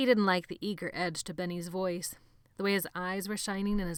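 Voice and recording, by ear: The text is read aloud in a natural voice.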